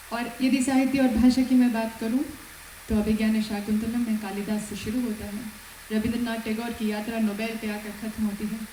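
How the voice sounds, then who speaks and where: A woman speaks in a Malayalam accent with a fairly high pitch and monotone, flat intonation. Noticeable background noise and audible room echo fill the recording. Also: moderate pace. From Kerala, India. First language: Malayalam (speaking Hindi). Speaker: police superintendent. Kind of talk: formal speech at event. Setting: auditorium. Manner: formal.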